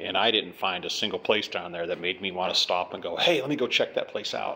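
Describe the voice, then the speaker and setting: There is light noise in the background as a man talks at a moderate rate. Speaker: traveler vlogger. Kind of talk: casual vlog chat. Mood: mildly disappointed. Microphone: phone near.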